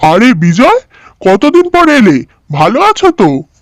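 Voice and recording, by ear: In a cartoonish character voice, a man speaks at a moderate pace with extremely high pitch and very wide pitch swings.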